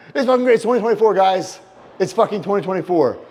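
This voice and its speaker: Noticeable background noise sits behind the voice. A man speaks in an intense tone. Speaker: pro wrestler. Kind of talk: vlog talk to camera. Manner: profane, intense.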